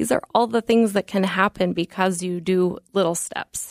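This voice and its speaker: A woman with an American accent speaks in a normal speaking voice at a medium pitch with ordinary pitch variation, the sound dry and close with no echo on a very clean recording with a silent background. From Colorado. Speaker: cardiology nurse practitioner. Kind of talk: radio interview.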